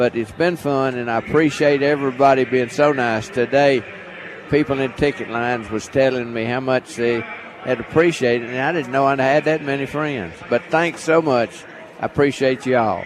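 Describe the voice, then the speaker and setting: Over noticeable background noise, a man with a Texan accent speaks at a moderate pace. His pitch is medium and his intonation fairly even. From Texas, Temple. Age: 70s. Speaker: football color commentator. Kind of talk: farewell remarks on sports radio.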